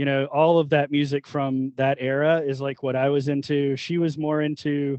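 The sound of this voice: With a fairly high pitch, this man talks at a moderate pace in a clear, smooth, slightly mellow tone, with little pitch movement and a dry, close sound with no echo.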